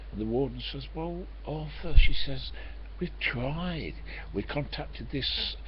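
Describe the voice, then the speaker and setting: Audible room echo follows a man as he speaks very slowly. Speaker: vlogger. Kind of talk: casual webcam monologue. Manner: soft-spoken; halting.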